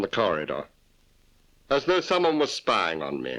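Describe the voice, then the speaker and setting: A man with a bright, sharp tone and vocal fry speaks at a moderate pace. His pitch swings very widely. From British. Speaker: voice actor. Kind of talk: film dubbing. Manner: camp.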